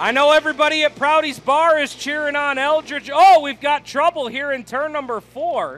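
A man speaks at a moderate pace with an extremely high pitch. His intonation stays fairly even. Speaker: race announcer. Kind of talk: live race commentary. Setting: racetrack, announcer booth. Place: stadium.

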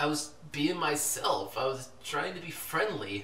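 A man's fairly high, put-on character voice, bright and sharp, with big pitch swings, at a fairly slow pace in audible room echo.

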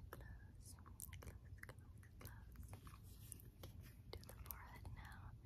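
Long, frequent pauses break up a woman's speech, which moves at a very slow pace. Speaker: ASMR creator. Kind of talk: ASMR personal attention role play. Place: home room. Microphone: phone near.

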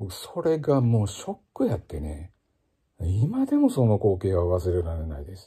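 A man with a Kansai accent speaks in a fairly low, dark, mellow voice that is relaxed and somewhat breathy. His pitch swings very widely, his loudness shifts greatly, and the background is quiet. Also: moderate pace. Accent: Kansai Japanese. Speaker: ocarina player and former music teacher; former music teacher. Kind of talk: casual spoken blog monologue. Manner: relaxed, conversational with many fillers. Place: home room. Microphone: phone near.

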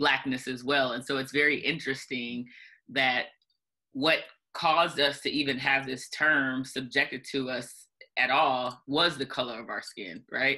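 A woman speaks at a moderate pace in a very deep, low pitch with a bright, sharp tone. Her intonation stays fairly even against a quiet background. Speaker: civil rights organization president. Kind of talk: panel discussion. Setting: video call. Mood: reflective, earnest. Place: home room. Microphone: video call.

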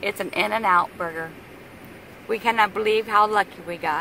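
A woman talks at a moderate pace. The sound is dry with no echo, and there is light background noise. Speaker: travel vlogger filming. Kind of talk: casual vlog chat. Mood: happy, excited about food. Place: car. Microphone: phone near.

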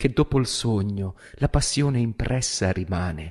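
Over a quiet background, a man with a fairly low, somewhat breathy voice and ordinary pitch variation speaks at a fairly slow pace. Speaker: stage actor and director. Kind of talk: poetry reading. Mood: solemn, emotive. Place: studio. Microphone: studio mic.

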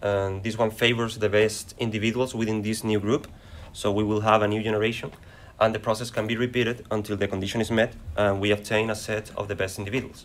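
A man speaks very fast in a Spanish accent. His voice is fairly low and flat, almost monotone. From Spain. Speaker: acoustics researcher; conference presenter. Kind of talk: conference presentation. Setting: conference session. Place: classroom.

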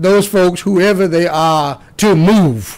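A man talks here, his pitch high. The pitch moves in an ordinary way. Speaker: preacher. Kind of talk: sermon. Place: studio. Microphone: studio mic.

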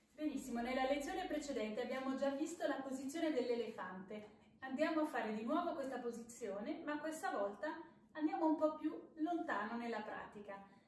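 A woman with a high pitch talks at a fairly quick pace. The room echo is audible. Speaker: kids yoga instructor. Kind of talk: tutorial. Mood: calm, gentle, encouraging. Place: home room. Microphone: phone near.

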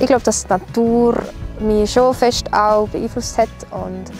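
A woman with an Appenzell accent at a moderate pace, dry with no echo, over clear music in the background. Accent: Swiss German, Appenzell dialect. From Appenzell, Switzerland. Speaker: singer. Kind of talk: casual talk to camera. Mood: relaxed, cheerful. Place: open country. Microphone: lapel.

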